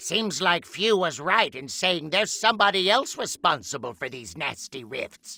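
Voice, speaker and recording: A man does a put-on character voice, high-pitched, at a moderate pace. His loudness swings a lot and his pitch swings very widely. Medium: video game.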